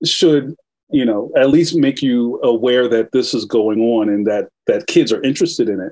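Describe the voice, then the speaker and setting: A man with a Philadelphia accent against a quiet background. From West Philadelphia. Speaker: cartoonist; guest. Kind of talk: interview. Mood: relaxed, animated storytelling. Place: home room. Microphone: video call.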